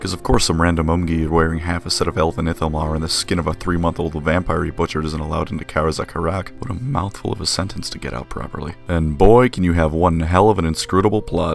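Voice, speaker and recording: Over music in the background, a man talks very fast in a very deep, low voice with hardly any pauses. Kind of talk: casual video essay commentary. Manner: flat, deadpan.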